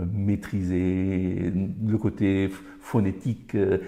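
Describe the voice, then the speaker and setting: A man's fairly low, somewhat breathy voice carries a dark, mellow tone. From Colombia. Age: 50s. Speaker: Spanish teacher. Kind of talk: interview answer.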